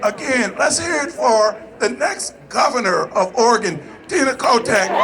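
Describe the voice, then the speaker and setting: A man speaks with an extremely high pitch over noticeable background noise. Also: lively intonation, fairly slow pace. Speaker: state senator. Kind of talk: political rally speech. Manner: animated.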